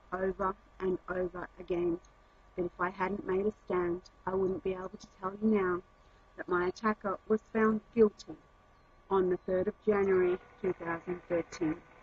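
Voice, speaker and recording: A woman with a medium pitch speaks at a moderate pace in a somewhat breathy voice with monotone, flat intonation. The sound is dry and close with no echo. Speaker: activist, crime victim. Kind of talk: scripted narration. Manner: formal.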